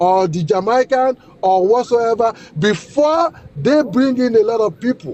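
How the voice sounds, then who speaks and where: A man speaks at a fairly slow pace, his pitch extremely high and his intonation lively. Noticeable background noise runs underneath. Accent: Nigerian. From Nigeria. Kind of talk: heated debate. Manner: interrupting, insistent.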